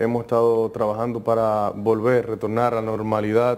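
With a Dominican accent, a man talks at a fairly quick pace in a monotone with flat intonation. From Dominican Republic, San Cristóbal; Dominican Republic. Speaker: politician. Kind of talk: TV interview. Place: studio. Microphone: lapel.

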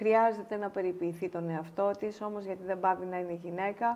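This woman's intonation stays fairly even as she talks. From Greece, Halkidiki; Greece. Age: 50s. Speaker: pharmaceutical executive; interview guest. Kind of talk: casual interview. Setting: studio. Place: studio.

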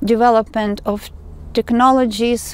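A woman with a fairly high pitch speaks at a very slow pace in a monotone, flat delivery. The sound is dry with no echo, and there is light background noise. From Ukraine. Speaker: tarot reader. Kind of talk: tarot reading monologue. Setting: outdoors in woods. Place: forest.

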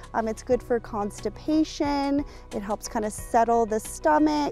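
The sound is dry, with no echo, and faint music plays in the background. Pitch varies in an ordinary way. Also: woman. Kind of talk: interview answer. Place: waterside.

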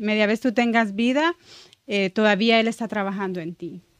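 A woman with a medium pitch speaks at a fairly slow pace and fairly even intonation. The sound is dry with no echo, over a quiet background. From El Salvador. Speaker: church ministry member; podcast guest. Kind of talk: testimony. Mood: emotional, reflective testimony. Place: studio. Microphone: studio mic.

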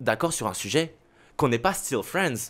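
This man's voice sits fairly high, and he keeps up a moderate pace. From Saint-Barthélemy (French Caribbean). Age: 20s. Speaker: radio host and content creator. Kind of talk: casual chat.

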